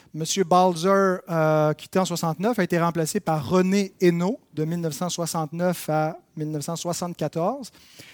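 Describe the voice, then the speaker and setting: At a very slow pace, the voice keeps a fairly even intonation, with a dry, close sound and no echo. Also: man, high pitch for a man. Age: 30s. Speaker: church history teacher. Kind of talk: lecture. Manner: halting.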